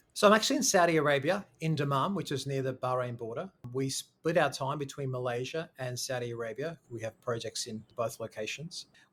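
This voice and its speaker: In an Australian accent, a man talks at a fairly quick pace with a fairly high pitch and ordinary pitch variation. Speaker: school founder and education consultant. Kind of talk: podcast interview.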